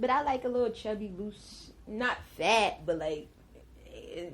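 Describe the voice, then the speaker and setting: A somewhat breathy woman's voice with an American accent and lively intonation. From New Jersey, Willingboro. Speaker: podcast guest. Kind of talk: casual chat.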